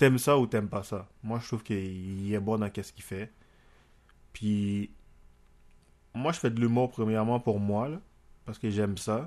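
With a Haitian accent, a man speaks fairly slowly in a fairly low pitch with ordinary variation, big swings in loudness and long, frequent pauses. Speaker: amateur comedian. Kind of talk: casual chat.

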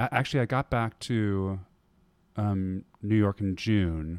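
Recorded dry and close with no echo, a man speaks at a fairly slow pace, with a fairly low pitch and fairly even intonation. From US Midwest, Wisconsin. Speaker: Broadway performer and dancer. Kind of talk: casual interview. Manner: hesitant with frequent fillers.

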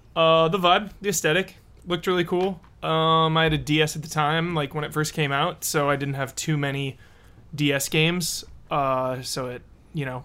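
Fairly high in pitch for a man, a plain, everyday voice moves with ordinary pitch variation. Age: 20s. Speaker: video game podcast co-host. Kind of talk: casual chat.

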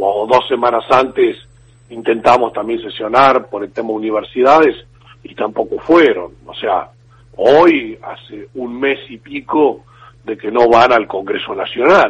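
An ordinary speaking voice moves at a fairly slow pace with ordinary pitch variation. Its loudness swings widely. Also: man, medium pitch for a man. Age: 50s. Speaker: politician. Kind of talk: radio interview.

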